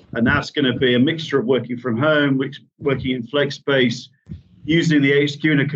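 Speaking with a Yorkshire accent, a man talks at a fairly quick pace with fairly even intonation. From Yorkshire, England. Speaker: managing director. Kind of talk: podcast interview.

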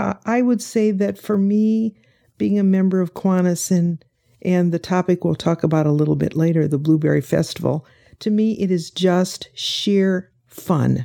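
In a Midwestern American accent, a woman speaks at a medium pitch and fairly slow pace, her dark, mellow tone holding very even loudness with ordinary pitch variation on a very clean recording with a silent background. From Indiana (Fort Wayne). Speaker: retired pastor. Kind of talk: interview.

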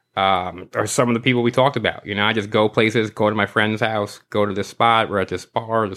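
A man talks fairly quickly with a New York accent. His pitch is fairly low and his intonation monotone and flat. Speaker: sticker artist. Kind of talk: casual chat.

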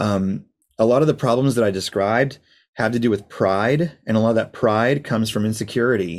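A man with an ordinary speaking voice talks at a fairly quick pace, his medium pitch varying in an ordinary way and his loudness very even. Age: 30s. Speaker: worship leader. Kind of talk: casual chat. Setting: video call.

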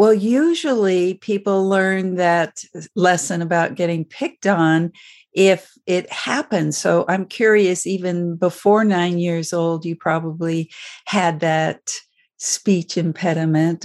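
Her pitch is fairly low and her pace fairly slow, and the woman has an ordinary speaking voice. Her intonation stays fairly even. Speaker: podcast host psychologist. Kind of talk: interview conversation.

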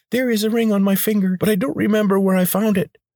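A squeaky, nasal put-on character voice carries the clip. The delivery runs at a very fast pace. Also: man, high pitch for a man. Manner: squeaking like a trapped mouse.

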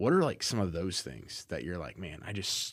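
Vocal fry runs through a man's very deep, low voice, which has ordinary pitch variation. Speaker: podcast host. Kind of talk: casual interview. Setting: studio.

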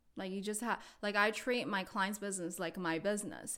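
Speaking at a fairly quick pace, a woman with a Chinese accent uses a medium pitch and ordinary pitch variation. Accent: Mandarin Chinese accent in English. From China, Beijing. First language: Mandarin Chinese. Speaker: real estate agent. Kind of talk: casual interview.

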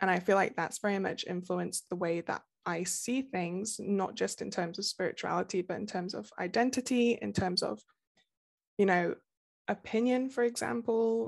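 With ordinary pitch variation around a medium pitch, a woman talks at a moderate pace. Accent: English Midlands. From England, Nottingham. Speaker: romance novelist. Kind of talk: interview.

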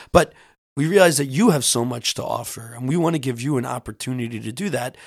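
The recording is very clean, with a silent background. A man with a plain, everyday voice speaks fairly quickly at medium pitch, with ordinary pitch variation. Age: 30s. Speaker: podcast host. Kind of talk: casual chat.

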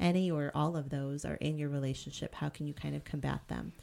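Very fast and in an American accent, a woman speaks with a dark, mellow tone at a very deep, low pitch, on a very clean recording with a silent background. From Boston. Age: 40s. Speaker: podcast co-host, therapist. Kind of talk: casual chat.

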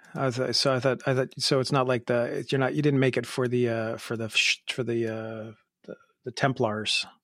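This man has an ordinary speaking voice with medium pitch. His intonation is fairly even and his pace moderate. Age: 40s. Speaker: watch podcast host. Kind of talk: casual chat.

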